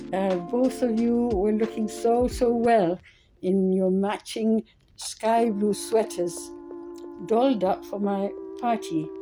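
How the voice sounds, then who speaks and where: Very slow speech by a woman at medium pitch with ordinary pitch variation, music playing in the background. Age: 80s+. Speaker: vlogger thanking friends. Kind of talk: casual video message.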